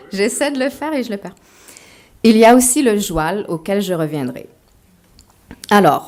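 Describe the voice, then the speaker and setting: A woman speaks at a medium pitch. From Quebec, Montreal. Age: 40s. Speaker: author. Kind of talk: lecture.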